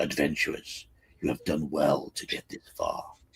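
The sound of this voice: A man uses a put-on character voice, raspy in texture. His pitch is extremely high. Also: moderate pace.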